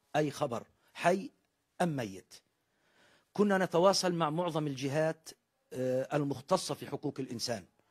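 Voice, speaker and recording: At a moderate pace, a man with a fairly high, somewhat breathy voice shows ordinary pitch variation over a quiet background. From West Bank, Palestine. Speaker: brother of a missing detainee. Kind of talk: interview appeal. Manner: formal. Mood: sorrowful, pleading. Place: home room. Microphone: handheld.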